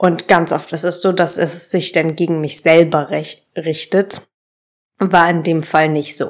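At a very slow pace, a woman with a fairly low pitch speaks in a monotone, flat intonation. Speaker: podcast host. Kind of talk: unscripted solo monologue. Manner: agitated.

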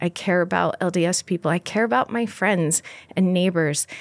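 On a very clean recording with a silent background and a dry, close sound with no echo, a woman with an American accent speaks at a moderate pace in an unremarkable speaking voice at medium pitch. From US Pacific Northwest and Mexico. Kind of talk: interview conversation.

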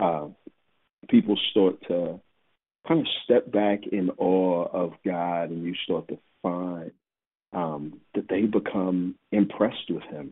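A man speaks with a very deep, low pitch and fairly even intonation. His pace is very slow, with long, frequent pauses. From Texas (Houston). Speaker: pastor. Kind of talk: podcast interview.

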